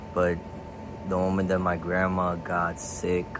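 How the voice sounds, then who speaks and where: A man speaks very slowly in a very deep, low voice, with noticeable background noise and audible room echo. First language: Spanish. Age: 20s. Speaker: vlogger. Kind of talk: casual vlog.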